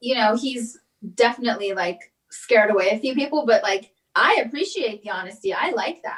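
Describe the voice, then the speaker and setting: The woman's voice is fairly high, in a Californian accent. She talks at a fairly quick pace with lively intonation. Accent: Californian American. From Los Angeles. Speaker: comedian and actress. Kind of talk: casual interview chat. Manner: animated, opinionated.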